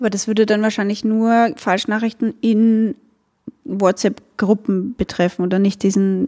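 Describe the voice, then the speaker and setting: Her pitch medium and her tone dark and mellow, a woman speaks at a fairly slow pace with fairly even intonation. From Austria, Burgenland. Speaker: podcast host. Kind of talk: casual interview.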